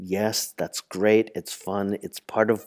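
A man with an American accent speaks in a plain, everyday voice at a fairly low pitch and moderate pace. The recording is very clean with a silent background and a dry, close sound with no echo. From New York City (Manhattan). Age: 60s. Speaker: artist and teacher. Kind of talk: interview.

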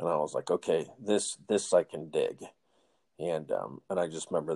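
The man's voice sounds dry and close, with no echo. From Northern California. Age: 50s. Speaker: podcast host. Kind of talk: casual interview chat. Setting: remote call.

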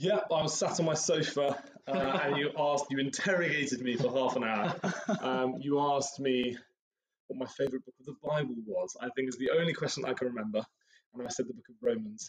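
A man with an ordinary speaking voice talks at a fairly high pitch with lively intonation. His loudness swings widely. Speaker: podcast guest; university student in final year.

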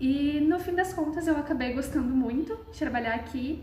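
A woman's high voice at a moderate pace with ordinary pitch variation, audible room echo and noticeable background noise. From Brazil, Londrina (Paraná). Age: young. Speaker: museum intern, social sciences student. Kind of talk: casual interview.

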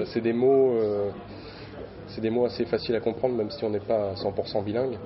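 A man's medium-pitched voice stays monotone and flat, with noticeable noise behind it. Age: 20s. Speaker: metal band musician. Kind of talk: interview. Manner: hesitant, many fillers.

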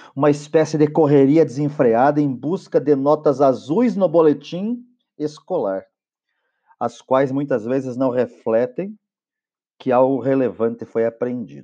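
Against a quiet background, a man speaks at a fairly slow pace with a dark, mellow tone. His pitch is fairly high and varies in an ordinary way. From southern Brazil (Paraná). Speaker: teacher and podcaster. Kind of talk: monologue podcast. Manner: enthusiastic.

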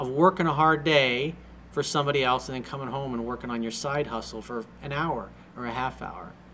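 A man's ordinary speaking voice at medium pitch and a fairly quick pace. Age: 40s. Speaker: life coach. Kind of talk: solo video monologue reading and answering an email. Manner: blunt, casual with frequent swearing.

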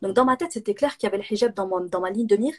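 A woman talks at a fairly high pitch, varying it in an ordinary way. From southern France (Nîmes). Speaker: entrepreneur and business coach. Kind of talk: interview on a live video stream.

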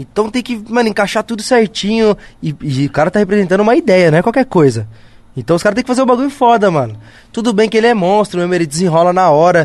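A man speaks very fast in a high pitch. His intonation is lively. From São Paulo, north zone (Brasilândia). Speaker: actor. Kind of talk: casual chat.

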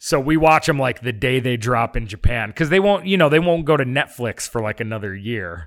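Talking at a fairly quick pace with hardly any pauses, a man has an unremarkable speaking voice at a medium pitch. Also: lively intonation. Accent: American. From upstate New York. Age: 40s. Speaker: film and TV director. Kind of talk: casual chat.

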